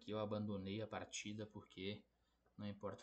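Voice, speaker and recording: A man talking at a fairly quick pace. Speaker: chess player and YouTuber. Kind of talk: chess game analysis video. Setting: borrowed laptop, tournament lodging.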